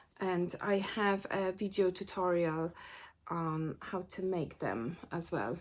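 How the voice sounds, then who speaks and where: A woman speaks with a non-native accent at a fairly low pitch. Her pace is very slow. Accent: noticeable foreign. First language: not English. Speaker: sewing teacher and vlogger. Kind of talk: casual vlog chat. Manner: hesitant, many fillers.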